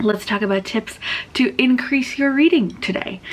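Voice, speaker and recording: A woman amid noticeable background noise. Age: 20s. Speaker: booktuber. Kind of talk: casual chat.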